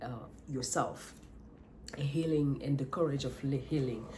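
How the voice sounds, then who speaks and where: With audible room echo, a woman with a non-native accent speaks at a fairly slow pace, her very deep, low-pitched voice somewhat breathy, dark and mellow, with fairly even intonation. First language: not English. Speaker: life coach vlogger. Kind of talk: motivational monologue. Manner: halting, with self-corrections.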